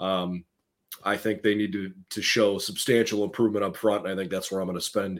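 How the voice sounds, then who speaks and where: A man's fairly low voice, an ordinary speaking voice, at a fairly quick pace with fairly even intonation, on a very clean recording with a silent background. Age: 30s. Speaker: sports podcast host. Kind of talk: casual sports talk.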